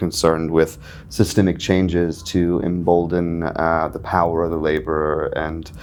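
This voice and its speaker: A man with an American accent talks at a moderate pace in a very deep, low pitch. Audible room echo surrounds his voice. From US South, North Carolina. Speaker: country and folk musician. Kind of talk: interview. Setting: backstage at a festival. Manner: halting, many fillers.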